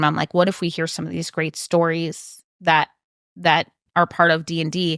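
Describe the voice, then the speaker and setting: Recorded very cleanly against a silent background, dry and close with no echo, a woman with a Wisconsin accent speaks at a moderate pace and a fairly low pitch. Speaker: author and game developer. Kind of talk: podcast interview.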